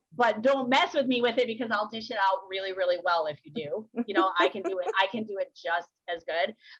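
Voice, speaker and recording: A woman talks at a fairly quick pace with hardly any pauses. Her pitch sits in the medium range. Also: ordinary pitch variation. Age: 40s. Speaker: mental health advocate. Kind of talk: casual chat. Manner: fast.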